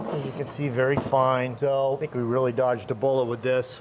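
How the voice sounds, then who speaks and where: Here a man talks fairly quickly in an unremarkable speaking voice at a medium pitch. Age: 60s. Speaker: motorcycle mechanic. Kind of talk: tutorial. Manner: casual.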